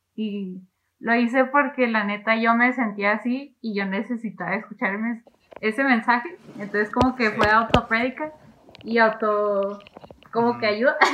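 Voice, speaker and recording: A woman talks at a moderate pace in a normal speaking voice. Her pitch is fairly high and her intonation fairly even. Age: 20s. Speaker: student. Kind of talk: casual chat.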